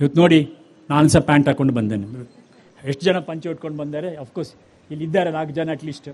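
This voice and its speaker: Pitched fairly high, a man speaks with ordinary pitch variation and big swings in loudness. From Chennai, Tamil Nadu. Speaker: bank chairman, chief guest. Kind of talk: ceremonial speech. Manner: code-switching Kannada and English.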